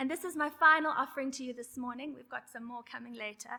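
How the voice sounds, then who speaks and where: A woman's raised, projected, high-pitched voice, bright and sharp in tone, at a very fast pace. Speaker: conference facilitator. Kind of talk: conference presentation. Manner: fast when excited.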